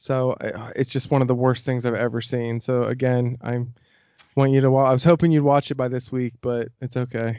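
A man of medium pitch speaks with monotone, flat intonation. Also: moderate pace. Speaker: podcast host. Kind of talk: casual chat.

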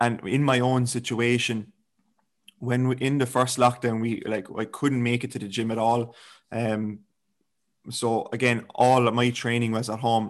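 In a very clean recording with a silent background, a man with an Irish accent speaks at a fairly slow pace, his medium pitch held in a monotone, flat intonation. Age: 20s. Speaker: fitness coach. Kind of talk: casual chat.

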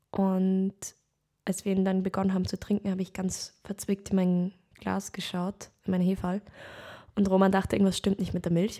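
Against a silent background on a very clean, dry, close recording with no echo, a woman speaks at medium pitch in a dark, mellow tone, with monotone, flat intonation and long, frequent pauses. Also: moderate pace. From Lower Austria. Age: 20s. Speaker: actress, podcast co-host. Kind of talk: casual chat.

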